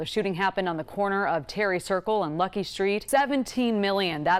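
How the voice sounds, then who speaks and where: Pitch varies in an ordinary way as a woman talks at a medium pitch in a plain, everyday voice. The recording is very clean, with a silent background. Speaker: TV news anchor and reporter. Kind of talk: TV news anchor delivery.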